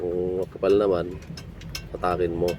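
Noticeable background noise sits under a man whose voice is very deep and low. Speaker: penile implant practitioner / vlogger. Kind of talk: tutorial.

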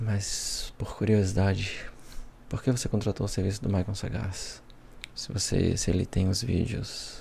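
In a Brazilian accent, the speaker talks at a moderate pace with a dark, mellow tone, vocal fry and monotone, flat intonation, over light background noise. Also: man. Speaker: ASMR creator. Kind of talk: ASMR roleplay as a sarcastic devil-detective character, acted scene. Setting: headphones-oriented ASMR, close-mic recording. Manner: playful, theatrical, sarcastic, with laughs and dramatic asides.

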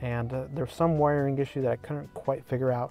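A man talks with a dark, mellow tone and fairly even intonation. The recording is dry with no echo. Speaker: tech reviewer. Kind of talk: casual vlog chat. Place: car. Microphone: phone near.

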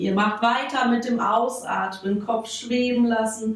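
Audible room echo surrounds a voice with fairly even intonation. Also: woman. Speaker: fitness instructor. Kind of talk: exercise class instruction. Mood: calm, soothing pace.

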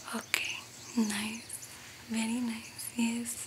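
A woman's voice amid noticeable background noise. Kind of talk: soft-spoken roleplay chat to camera. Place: home room.

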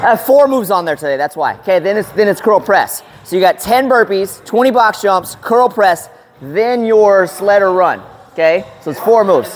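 The voice moves at a moderate pace against light background noise. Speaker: fitness trainer. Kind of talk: workout instructions to a group. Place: gym. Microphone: lapel.

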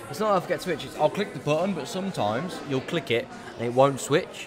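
A man is speaking amid noticeable background noise. The room echo is audible. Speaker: esports tournament commentator. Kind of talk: live commentary. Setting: live event venue. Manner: halting.

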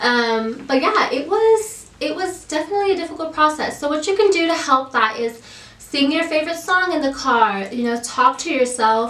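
With a high pitch and very wide pitch swings, a woman speaks at a moderate pace with hardly any pauses, in audible room echo. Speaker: YouTube vlogger. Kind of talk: casual vlog update. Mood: friendly, helpful.

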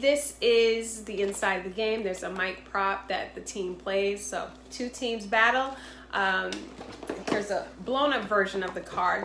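A woman with an American accent at a medium pitch and fairly slow pace, fairly even in intonation, with audible room echo and light background noise. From Boston, Massachusetts. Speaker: entrepreneur and game inventor. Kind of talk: sales pitch. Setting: self-recorded video. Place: home room. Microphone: phone near.

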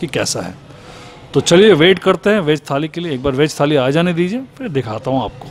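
Light background noise sits behind a man. He speaks at a moderate pace with ordinary pitch variation. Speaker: food vlogger. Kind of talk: casual vlog chat. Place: cafe. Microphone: lapel.

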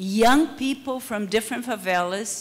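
Ordinary pitch variation in a Brazilian accent. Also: woman. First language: Portuguese. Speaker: public security researcher. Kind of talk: conference panel talk. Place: hall. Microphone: handheld.

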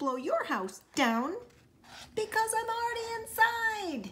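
A woman slips into a put-on character voice, pitched extremely high and delivered fairly slowly. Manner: growling, menacing.

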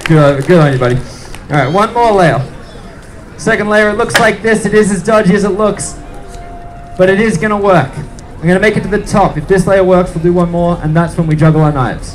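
With music in the background, this man speaks at a high pitch, a fairly quick pace and ordinary pitch variation. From Australia. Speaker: street performer. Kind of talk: showman patter to a crowd. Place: street. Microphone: camera far.

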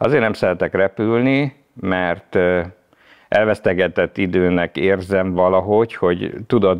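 A man's very deep, low voice at a fairly slow pace against a quiet background. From Hungary, Budapest; Hungary. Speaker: former taxi driver and car enthusiast; podcast guest. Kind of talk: casual interview chat. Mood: relaxed, reflective. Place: studio. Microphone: lapel.

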